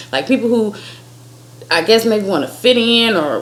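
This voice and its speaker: Audible room echo and noticeable background noise around a woman's voice. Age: 30s. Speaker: vlogger. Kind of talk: casual chat. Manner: animated.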